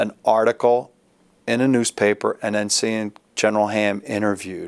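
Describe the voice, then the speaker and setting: With an American accent, a man speaks at a moderate pace in a fairly low, monotone pitch with flat intonation, the sound dry and close with no echo. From Philadelphia. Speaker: judge and army veteran. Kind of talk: interview answer.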